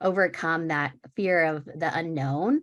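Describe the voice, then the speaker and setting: The woman's voice sits at a very deep, low pitch. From US West Coast, Sacramento California. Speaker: panelist, diversity and inclusion professional. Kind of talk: panel discussion.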